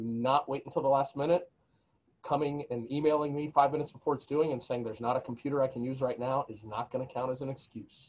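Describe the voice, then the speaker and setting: A man talks at a fairly quick pace. His intonation is fairly even. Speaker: university instructor. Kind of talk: lecture. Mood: firm, instructive. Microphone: webcam.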